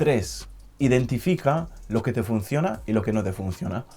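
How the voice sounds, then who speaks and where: With music in the background, a man speaks at a medium pitch and a fairly slow pace with lively intonation. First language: not Spanish (learned Spanish) (speaking Spanish). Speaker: language learning youtuber. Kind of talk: motivational talk to camera.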